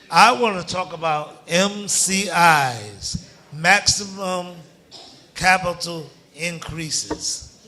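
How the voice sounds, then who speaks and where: An animated, high-pitched male voice with ordinary pitch variation over noticeable background noise. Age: 60s. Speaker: tenant speaking at public hearing. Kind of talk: public testimony.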